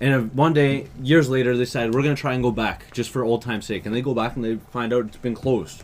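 A man's medium-pitched, playful voice at a very fast clip, with fairly even intonation and hardly any pauses. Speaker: podcast host. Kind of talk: casual banter. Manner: joking, playful.

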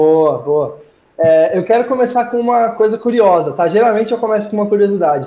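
In a high pitch, a man speaks at a fairly quick pace with lively intonation. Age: 20s. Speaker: podcast host. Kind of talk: interview.

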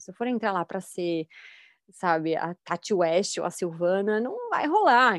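This woman has a medium-pitched, unremarkable speaking voice. Her intonation is lively. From Brazil, São Paulo state. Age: 30s. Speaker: actress and filmmaker. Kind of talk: casual chat.

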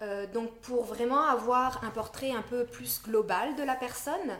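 A woman's fairly high voice at a fairly slow pace, with ordinary pitch variation, over noticeable background noise. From France. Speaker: naturopath. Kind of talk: podcast interview. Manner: hesitant, many fillers.

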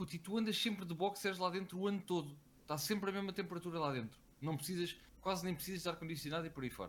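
Very fast speech from a man with a high pitch and ordinary pitch variation. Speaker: podcast co-host. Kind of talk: casual chat. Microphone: too quiet, far from the mic.

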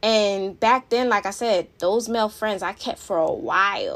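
This woman has a fairly high pitch. She speaks with an American accent. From Philadelphia, US. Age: 30s. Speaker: podcast host. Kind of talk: angry rant; personal vent. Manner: animated; fired up, emphatic, blunt.

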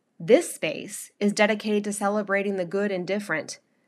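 A woman speaks with an American accent at a medium pitch and moderate pace. The recording is very clean, with a silent background. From North Carolina. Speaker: podcast host and blogger. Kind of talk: scripted narration of a personal essay.

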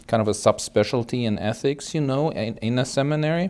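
A man speaking in a German accent at a moderate pace, with ordinary pitch variation, on a very clean recording with a silent background. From Germany (West Germany). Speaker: hospital chaplain. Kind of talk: interview. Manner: hesitant, with fillers.

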